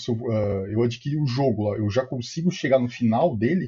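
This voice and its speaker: Somewhat breathy and medium in pitch, a man's voice moves at a fairly quick pace. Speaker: podcast co-host. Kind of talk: podcast interview.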